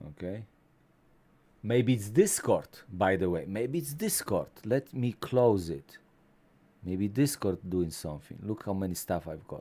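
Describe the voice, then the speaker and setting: A man with a Polish accent speaks in a fairly low, dark, mellow tone at a fairly slow pace. His intonation is lively, broken by long, frequent pauses. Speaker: tech YouTuber. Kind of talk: live stream chat.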